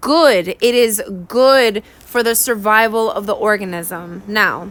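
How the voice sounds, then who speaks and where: With a New York accent, a woman speaks at a high pitch with lively intonation. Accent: New York (Bronx). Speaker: science teacher / exam tutor. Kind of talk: exam review lesson. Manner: casual, conversational.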